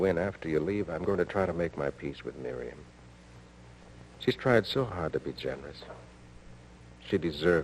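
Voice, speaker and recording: With a very deep, low pitch and vocal fry, a man speaks at a moderate pace, using lively intonation and long, frequent pauses. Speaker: husband character in a radio drama. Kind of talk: 1950s radio drama.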